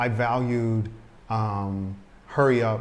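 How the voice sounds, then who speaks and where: A man speaks with noticeable background noise and audible room echo around him. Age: 60s. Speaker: expat video host. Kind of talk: casual chat.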